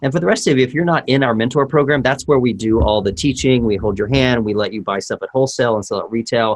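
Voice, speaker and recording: A very fast American-accented male voice at medium pitch, with ordinary pitch variation and hardly any pauses. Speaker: handwriting analysis teacher. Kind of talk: online class.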